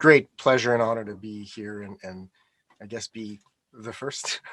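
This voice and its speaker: Speaking at a moderate pace with a Canadian accent, a man has a fairly low pitch and fairly even intonation, recorded dry and close with no echo. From Canada, Montreal (Quebec). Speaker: interview guest. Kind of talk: interview conversation.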